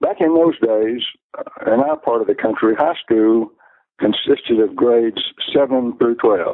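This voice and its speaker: A man talks at a fairly slow pace. He speaks with an Alabama accent. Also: very even loudness. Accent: Southern US (Alabama). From US South, Alabama (Luverne, south of Montgomery). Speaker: retired math and science professional. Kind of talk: interview. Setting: phone call. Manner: halting, with fillers and repetitions.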